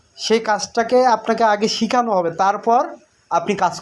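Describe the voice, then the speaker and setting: High-pitched, a man talks with ordinary pitch variation. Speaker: YouTuber giving scheme updates. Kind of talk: direct-to-camera monologue.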